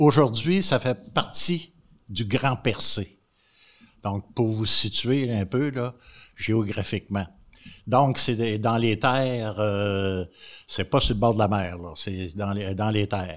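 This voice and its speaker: A man's medium-pitched voice at a very slow pace, with ordinary pitch variation, in a very clean recording with a silent background. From Quebec, Montréal. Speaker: retired agriculture teacher.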